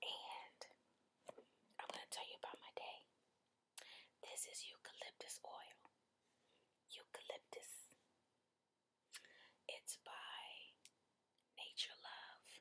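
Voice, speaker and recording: A woman whispers at a very slow pace. Long pauses come often. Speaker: ASMR creator. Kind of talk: ASMR relaxation session. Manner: soft-spoken. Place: home room. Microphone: webcam.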